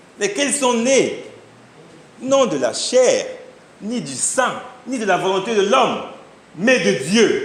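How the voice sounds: A high-pitched man speaks slowly with big pitch swings, and strong room echo surrounds his voice.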